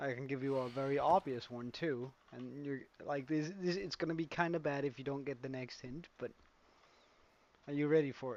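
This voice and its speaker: A man's fairly high voice with fairly even intonation at a moderate pace. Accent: Danish. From Denmark. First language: Danish. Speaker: gaming streamer. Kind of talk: live stream gameplay chat. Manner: casual, hesitant with fillers.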